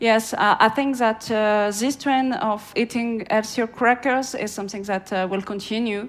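A woman's fairly high voice with a French accent, fairly even intonation and a fairly slow pace. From France. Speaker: market analyst. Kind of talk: interview. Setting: outdoors. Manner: hesitant with fillers.

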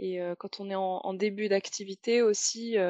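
Heard in a dry, close sound with no echo, a woman speaks at a fairly slow pace and medium pitch, her intonation fairly even. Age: 20s. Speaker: translator. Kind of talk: interview. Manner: hesitant, many fillers.

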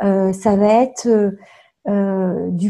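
A somewhat breathy woman's voice of medium pitch, dark and mellow in tone, with fairly even intonation. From France, Touraine (Tours). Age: 40s. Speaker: coaching client. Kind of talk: testimony. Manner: halting.

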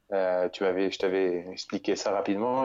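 This man has a normal speaking voice, pitched fairly low and delivered at a fairly quick pace. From central France, near Bourges. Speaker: adventurer. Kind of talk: interview.

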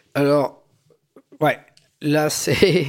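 The man's fairly high voice moves along at a very slow pace. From Belgium, Algerian immigrant family. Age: 40s. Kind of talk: personal testimony. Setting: living room recording.

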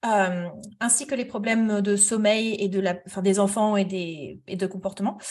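Somewhat breathy, a woman speaks at a fairly slow pace with fairly even intonation and hardly any pauses. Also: medium pitch for a woman. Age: 30s. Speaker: therapist. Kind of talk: interview.

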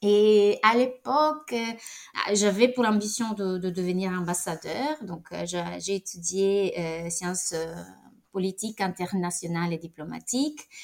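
This woman talks at a very slow pace in a medium pitch. Her intonation is lively. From Italy. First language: Italian (speaking French). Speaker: director of a European business network. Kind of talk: interview. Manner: halting, many repetitions.

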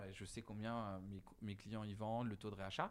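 This is a man speaking. His pitch is medium and his pace moderate. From western France, Deux-Sèvres. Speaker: head of digital at a theme park. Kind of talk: interview. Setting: on location at the park manor. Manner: hesitant, many fillers.

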